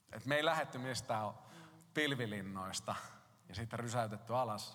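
A man speaks at a medium pitch and a moderate pace. His tone is bright and sharp, with audible room echo. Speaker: pastor. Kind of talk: sermon.

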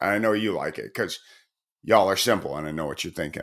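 With an American accent and vocal fry, a man is heard on a very clean recording with a silent background. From Chicago. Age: 30s. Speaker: podcast host. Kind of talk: solo podcast commentary. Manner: casual, rambling with fillers.

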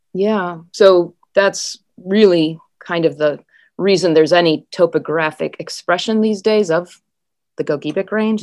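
A woman with an American accent and a normal speaking voice talks at a fairly slow pace with a fairly low pitch and ordinary pitch variation, on a very clean recording with a silent background. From Wisconsin and Minnesota, US Upper Midwest. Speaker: geology professor. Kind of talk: interview.

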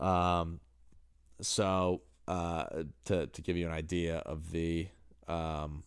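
A man speaks with an American accent and an animated tone. The recording is very clean, with a silent background. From New Hampshire, US. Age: 30s. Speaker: podcaster and basketball coach. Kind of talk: casual monologue. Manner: halting with fillers.

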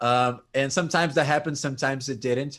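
A man talks fairly quickly at medium pitch in a plain, everyday voice with fairly even intonation. The recording is very clean, with a silent background. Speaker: prog rock music commentator. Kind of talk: casual chat.

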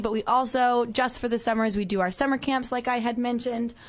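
A high-pitched woman at a fairly quick pace with ordinary pitch variation, over noticeable background noise. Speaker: dance studio owner. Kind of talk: live radio interview.

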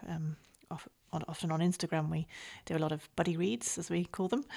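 In a northern English accent, the speaker talks at a very fast pace in a monotone, flat voice on a very clean recording with a silent background. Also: woman. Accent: northern English, flat vowels. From northern England. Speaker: book podcast host. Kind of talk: casual chat.

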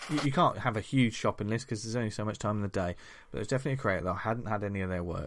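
A man with a British accent speaks with a fairly low pitch and ordinary pitch variation over a quiet background. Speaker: comics podcast host. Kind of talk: casual chat.

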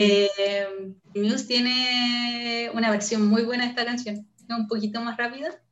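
The speech comes at a fairly slow pace with monotone, flat intonation. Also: woman, fairly high pitch for a woman. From northern Chile, Antofagasta. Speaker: neuroscience researcher. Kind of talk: interview.

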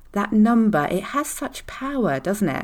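This woman has an unremarkable speaking voice. She talks at a fairly slow pace with lively intonation. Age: 40s. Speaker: fertility mindset coach, podcast host. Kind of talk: solo podcast monologue.

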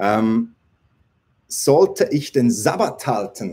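A man is speaking. His pitch swings very widely. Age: 40s. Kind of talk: live Q&A stream. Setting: livestream on several platforms.

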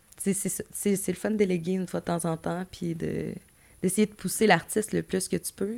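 Vocal fry runs through this monotone, flat delivery at a moderate pace. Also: woman, medium pitch for a woman. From Gaspésie, Quebec. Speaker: music manager, former radio host. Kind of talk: casual interview.

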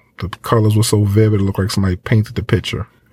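Fairly low in pitch, a man's voice sounds dark and mellow in tone and somewhat breathy. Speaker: podcast host. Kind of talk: casual chat. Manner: animated.

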